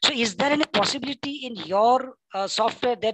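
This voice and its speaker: This is a woman speaking with a Gujarati accent. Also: dry, close sound with no echo. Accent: Indian English, Gujarati. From India, Gujarat. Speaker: librarian, audience questioner. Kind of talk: Q&A question at webinar. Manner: halting, many fillers.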